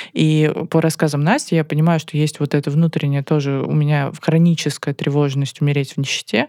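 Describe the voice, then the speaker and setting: Nothing can be heard in the silent background of this very clean recording. The talking proceeds at a moderate pace. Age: 30s. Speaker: company CEO, podcast co-host. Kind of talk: casual chat.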